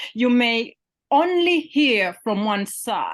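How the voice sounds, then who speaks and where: A woman with a Ugandan accent speaks at a high pitch. Her pace is very slow. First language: Luganda. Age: 50s. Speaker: poet and literature professor. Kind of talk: interview conversation. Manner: halting, many fillers and repetitions.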